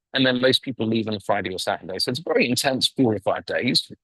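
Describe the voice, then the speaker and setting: Here a man speaks at a medium pitch and a very fast pace. The sound is dry and close with no echo. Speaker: event organizer and webinar presenter. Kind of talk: webinar presentation. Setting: video call. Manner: animated.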